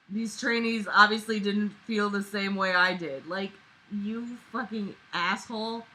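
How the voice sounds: A natural reading voice, delivered with fairly even intonation.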